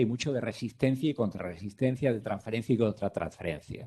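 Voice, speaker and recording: A man talks at a fairly quick pace in a medium pitch, with ordinary pitch variation. His tone is dark and mellow. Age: 60s. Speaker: physician. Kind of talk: lecture. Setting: conference room, streamed online.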